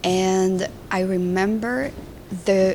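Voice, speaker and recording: A woman speaks in a fairly low voice with a Spanish accent. Her intonation is monotone and flat. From Colombia. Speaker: film director. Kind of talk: interview. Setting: festival.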